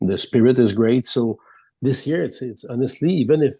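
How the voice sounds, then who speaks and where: Against a quiet background, the speaker has a dark, mellow tone, a French Canadian accent, ordinary pitch variation, and a moderate pace. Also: man. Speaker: sports reporter. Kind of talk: casual interview. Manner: halting.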